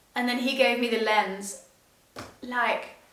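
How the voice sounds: Slow and fairly even in intonation, a woman speaks at a fairly high pitch with a fairly bright tone. Strong room echo surrounds her voice.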